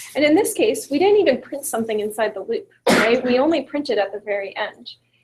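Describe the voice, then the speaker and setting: A woman's high voice at a fairly quick pace, with very wide pitch swings. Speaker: computer science tutor. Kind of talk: online lecture. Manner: fast.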